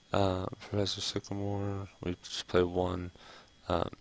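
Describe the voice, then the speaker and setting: Soft-spoken and relaxed in tone, a man talks in a very deep, low pitch with monotone, flat intonation. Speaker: gamer, card game streamer. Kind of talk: casual talk to camera, gameplay commentary. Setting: home recording, ASMR-style video. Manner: soft-spoken, relaxed.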